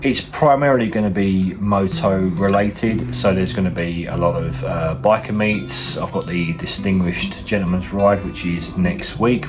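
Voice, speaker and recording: Lively intonation with music in the background and audible room echo. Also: man. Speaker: motovlogger. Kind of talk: casual vlog talk.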